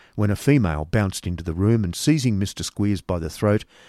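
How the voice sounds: Reading in a natural voice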